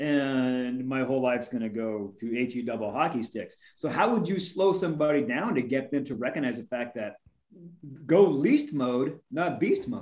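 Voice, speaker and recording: This man has an ordinary speaking voice at a medium pitch. He talks at a moderate pace with lively intonation. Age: 50s. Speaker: fitness podcast co-host. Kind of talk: casual interview chat.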